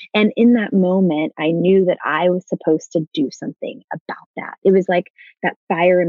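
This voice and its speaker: A woman speaks with an American accent at a fairly low pitch. Her pace is moderate, with ordinary pitch variation. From Dallas, Texas. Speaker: nonprofit founder. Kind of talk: interview. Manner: animated.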